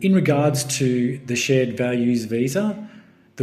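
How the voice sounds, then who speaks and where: With music in the background, a man with an Australian accent speaks at a very slow pace with ordinary pitch variation. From Melbourne, Australia. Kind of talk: casual talk to camera.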